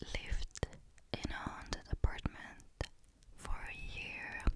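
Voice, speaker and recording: Over noticeable background noise, someone whispers at a very slow pace. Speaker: ASMR creator. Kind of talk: whispered story reading. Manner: whispering.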